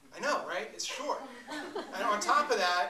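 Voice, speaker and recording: There is noticeable background noise. A man speaks in a raised, projected voice. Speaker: poetry performer. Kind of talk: live spoken-word lecture performance. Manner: energetic, conversational.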